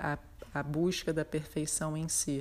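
This woman's voice is very deep and low-pitched, captured in a very clean recording with a silent background. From Brazil, Rio de Janeiro. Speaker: ceramic artist. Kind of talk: interview. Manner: halting, many fillers.

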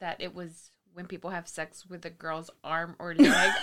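Using vocal fry, a woman with medium pitch speaks at a fairly slow pace. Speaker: true crime podcast co-host. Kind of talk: casual chat.

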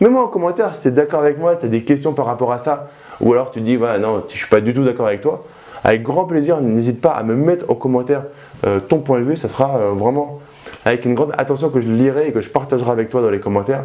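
Speaking very fast amid noticeable background noise, a man keeps a medium pitch with ordinary pitch variation. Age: 30s. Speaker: real estate investment youtuber. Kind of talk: casual vlog monologue. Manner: animated.

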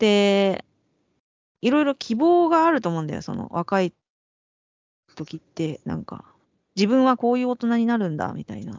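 A woman with a fairly high voice speaks at a moderate pace, leaving long, frequent pauses. Her pitch swings very widely and her loudness shifts a lot. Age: 40s. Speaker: podcast co-host, creator. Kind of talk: casual chat.

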